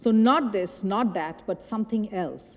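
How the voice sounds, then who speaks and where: A woman with a Bengali accent, ordinary pitch variation, and a moderate pace. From India. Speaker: choreographer. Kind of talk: lecture. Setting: stage with audience. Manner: halting.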